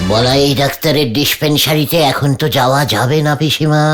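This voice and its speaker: This is a cartoonish character voice at a low-to-middle pitch and a moderate pace. Clear music plays in the background. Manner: comic, boastful.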